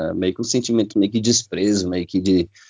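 A man talks in an ordinary speaking voice at a fairly low pitch. His pitch variation is ordinary. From Jataí, Goiás, Brazil. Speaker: rapper. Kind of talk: casual interview.

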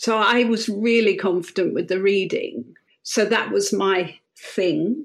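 A woman speaks at a fairly slow pace in a southern English accent, her medium pitch showing ordinary variation. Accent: English (southern, RP-like). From England. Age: 60s. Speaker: Chinese teacher. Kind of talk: interview.

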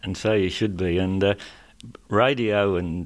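A man with an Australian accent, very deep and low in pitch, at a moderate pace. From Western Australia. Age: 60s. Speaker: radio host. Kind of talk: radio interview. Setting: studio.

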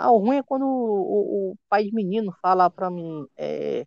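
The speaker has a Maranhão accent and a dark, mellow tone with ordinary pitch variation. The sound is dry and close, with no echo. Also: man. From Maranhão, Brazil. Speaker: stand-up comedian. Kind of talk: casual chat. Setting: remote call.

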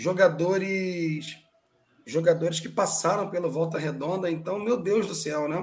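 Fairly slow and high-pitched, a man speaks with ordinary pitch variation. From Brazil, Belo Horizonte. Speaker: football historian co-host. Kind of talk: casual chat.

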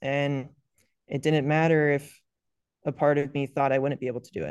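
A man with an American accent, fairly high in pitch, speaking fairly quickly with fairly even intonation. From Northern Virginia. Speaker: engineer and policy advocate. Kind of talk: interview. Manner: halting.

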